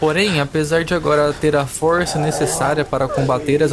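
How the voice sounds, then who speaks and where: The voice moves at a moderate pace. There is noticeable background noise. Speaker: storyteller narrating a fantasy tale. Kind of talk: scripted mythic storytelling, epic fantasy narration read aloud. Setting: audio story meant for headphones. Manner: dramatic, intense, building tension in a vivid, grave tone; measured, solemn, with short punchy sentences in battle.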